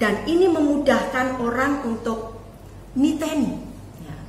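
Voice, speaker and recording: A woman speaks in a high voice with ordinary pitch variation. Audible room echo and noticeable background noise surround her. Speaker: preacher and teacher. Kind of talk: sermon. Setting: online family worship video.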